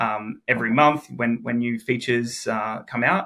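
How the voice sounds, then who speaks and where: A man with an Australian accent, a bright, sharp tone and medium pitch, on a very clean recording with a silent background. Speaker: software engineer. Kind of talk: tutorial.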